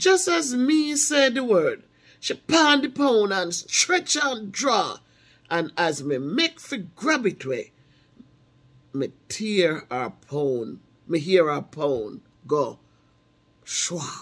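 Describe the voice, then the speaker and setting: A woman with a Jamaican accent, medium pitch and very wide pitch swings, at a very slow pace with long, frequent pauses. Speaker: math teacher. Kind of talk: poetry reading in Jamaican patois.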